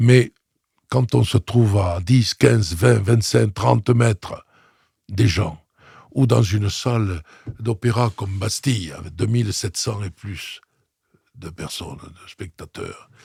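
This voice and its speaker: Very slowly and with long, frequent pauses, a man speaks in a fairly low, dark, mellow, somewhat breathy voice with ordinary pitch variation and big swings in loudness, the sound dry and close with no echo. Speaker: opera singer and voice coach. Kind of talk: interview conversation. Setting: studio.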